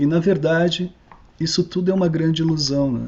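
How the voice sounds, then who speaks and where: A man speaks with an ordinary speaking voice. His pace is moderate and his pitch variation ordinary. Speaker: researcher giving a talk. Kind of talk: online lecture. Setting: online video call.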